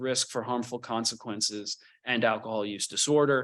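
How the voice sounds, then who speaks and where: A man's bright, sharp voice with ordinary pitch variation over a quiet background. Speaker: psychology professor and clinical psychologist. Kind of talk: lecture. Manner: fast.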